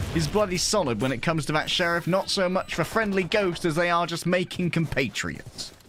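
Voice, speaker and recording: Amid noticeable background noise, a man talks at a fairly quick pace with a high pitch. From England. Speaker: esports commentator. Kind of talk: live commentary. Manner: animated.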